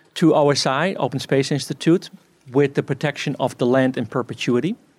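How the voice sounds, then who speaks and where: A man speaks in an unremarkable speaking voice. His pitch is fairly high and his pace fairly quick. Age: 50s. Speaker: farmer. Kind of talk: talk.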